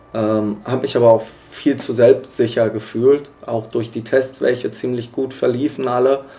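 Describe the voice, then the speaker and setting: In a medium pitch, a man speaks with monotone, flat intonation at a fairly slow pace. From western Germany, Iserlohn (Sauerland). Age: 20s. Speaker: motorcycle racer. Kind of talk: documentary interview. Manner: hesitant, many fillers.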